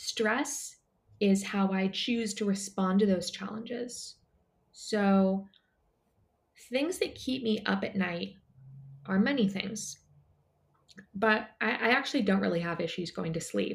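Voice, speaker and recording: Speaking at a fairly slow pace with long, frequent pauses, a woman uses a medium pitch, ordinary pitch variation and a somewhat breathy voice. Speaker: wellness company founder. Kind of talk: casual interview chat. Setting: remote call.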